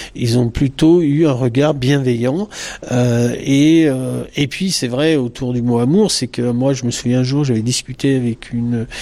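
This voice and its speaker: A man speaks at a fairly slow pace. Noticeable noise sits in the background. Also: medium pitch for a man, ordinary pitch variation. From France. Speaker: psychologist. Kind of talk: interview. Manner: halting.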